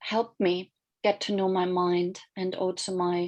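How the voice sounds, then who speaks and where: A woman in a German accent speaks at a medium pitch over a quiet background. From Germany. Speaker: life coach and mindfulness teacher. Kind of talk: online workshop presentation.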